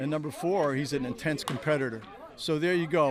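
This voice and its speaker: With ordinary pitch variation and a fairly high pitch, a man talks fairly quickly over noticeable background noise. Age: 70s. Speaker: baseball pitching coach. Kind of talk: interview.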